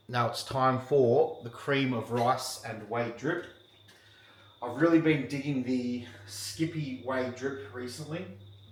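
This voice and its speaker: Very slow speech over noticeable background noise. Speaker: bodybuilding coach vlogger. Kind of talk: casual vlog narration.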